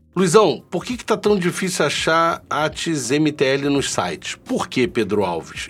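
A man's fairly high voice at a fairly slow pace. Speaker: vaping channel host. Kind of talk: solo live stream chat. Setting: live stream with chat. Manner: casual, chatty.

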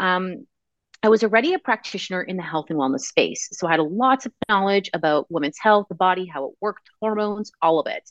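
A woman with a Canadian accent and a plain, everyday voice at medium pitch, lively intonation and a fairly quick pace, in a dry, close sound with no echo. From Canada. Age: 30s. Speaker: nutrition and fertility wellness practitioner. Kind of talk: interview.

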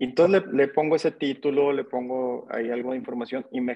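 A man with a northern Mexican accent has a dark, mellow tone at a medium pitch with ordinary pitch variation, in a dry, close sound with no echo. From Mexico, Monterrey. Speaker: real estate entrepreneur. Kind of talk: interview.

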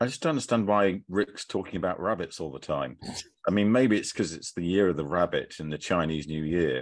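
This man's voice sits very deep and low, with vocal fry and lively intonation. He talks at a fairly quick pace over a quiet background. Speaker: fintech commentator and quiz contestant. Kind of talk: casual quiz banter.

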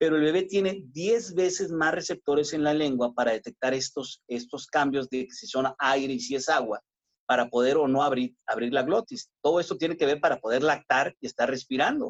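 A man with a plain, everyday voice and a fairly high pitch speaks at a moderate pace with lively intonation and hardly any pauses, in a dry, close sound with no echo. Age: 50s. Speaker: obstetrician-gynecologist. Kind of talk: interview.

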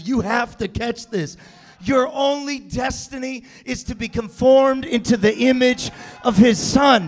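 An animated tone in an American accent, moderate pace and ordinary pitch variation, with music in the background. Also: man. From US West, California. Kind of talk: sermon, preacher in full flow, rallying call-and-response. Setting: church with live congregation. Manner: animated, rhythmic, repeating phrases with rising intensity; loud, exhorting the crowd, with jokes.

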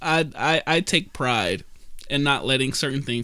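Recorded very cleanly against a silent background, a man with an American accent speaks at a medium pitch in a bright, sharp tone. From US Midwest, Detroit. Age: 20s. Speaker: podcast host. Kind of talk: casual chat.

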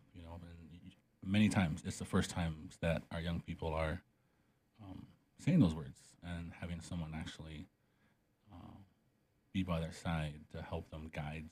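A man speaks at a very deep, low pitch in a somewhat breathy, monotone, flat delivery at a moderate pace. His loudness swings widely, and he leaves long, frequent pauses. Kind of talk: interview conversation. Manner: halting, many fillers.

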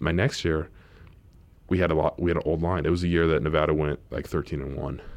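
A man speaks at a fairly quick pace with a very deep, low pitch and vocal fry. His intonation is fairly even. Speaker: professional football player. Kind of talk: casual interview.

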